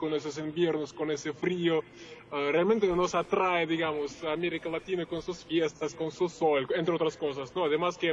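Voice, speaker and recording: Noticeable background noise runs under the recording. A man with a Russian accent speaks at a moderate pace. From Russia, Moscow. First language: Russian (speaking Spanish). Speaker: journalist and producer. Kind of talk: interview. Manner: hesitant, many fillers.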